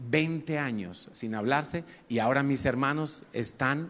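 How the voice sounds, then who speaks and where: Speaking at a fairly slow pace, a man with a normal speaking voice shows ordinary pitch variation. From Spain, Madrid. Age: 50s. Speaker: pastor. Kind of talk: sermon.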